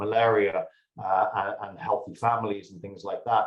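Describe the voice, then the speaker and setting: Somewhat breathy, this man's voice sits at a medium pitch. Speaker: pharmaceutical executive. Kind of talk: conference presentation. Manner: frequent fillers and repetitions.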